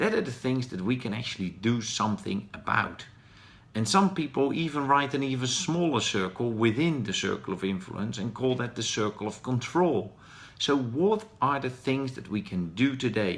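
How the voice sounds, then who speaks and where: Speaking with a Dutch accent, a man talks at a medium pitch. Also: lively intonation, moderate pace. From Netherlands. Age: 40s. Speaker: professional speaker. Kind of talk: live stream talk. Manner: hesitant, with fillers.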